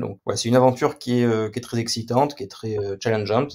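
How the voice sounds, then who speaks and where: Speaking very fast, a man with a medium-pitched voice and a dark, mellow tone keeps his intonation fairly even in a very clean recording with a silent background. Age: 30s. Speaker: software company founder. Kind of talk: interview. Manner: hesitant, many fillers.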